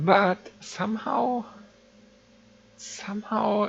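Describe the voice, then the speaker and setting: Noticeable noise fills the background while a voice with a non-native accent talks. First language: not English. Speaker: game server admin and streamer. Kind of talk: live-streamed game tutorial. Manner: halting, with fillers.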